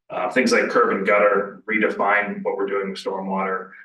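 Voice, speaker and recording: Audible room echo surrounds a man who speaks fairly quickly in an American accent. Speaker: village official reporting to council. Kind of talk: council meeting report. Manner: halting, many fillers and repeats.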